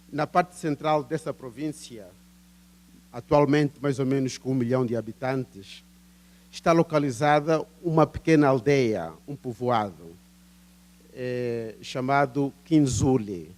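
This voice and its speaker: Very slowly and with long, frequent pauses, a man with an Angolan accent speaks at a medium pitch with ordinary pitch variation. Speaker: professor. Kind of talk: academic conference talk. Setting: seminar with audience. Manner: hesitant, many fillers.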